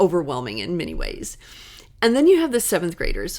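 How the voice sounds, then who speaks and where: A woman speaks with an American accent on a very clean recording with a silent background. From US Midwest. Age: 50s. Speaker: school counselor. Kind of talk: podcast monologue. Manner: upbeat, cheerful.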